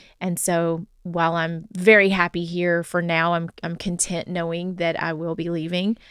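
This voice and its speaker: The speaker has a Southern US accent and a moderate pace. Delivery is monotone and flat, with hardly any pauses. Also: woman, fairly low pitch for a woman. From US South. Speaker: podcast co-host. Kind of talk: casual chat.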